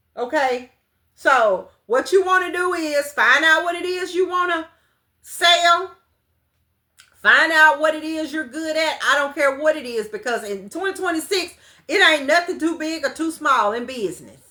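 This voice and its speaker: A raised, projected voice with a bright, sharp tone sounds animated, with lively intonation at a moderate pace. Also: woman, extremely high pitch for a woman. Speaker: business coach. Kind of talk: livestream class. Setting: livestream.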